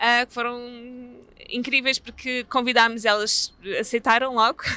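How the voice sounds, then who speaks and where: A woman speaks at a moderate pace in a European Portuguese accent, her fairly high voice bright and sharp. Her intonation stays monotone and flat, and the sound is dry with no echo. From Portugal. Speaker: theatre artist; theatre project co-creator. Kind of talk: interview. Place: street.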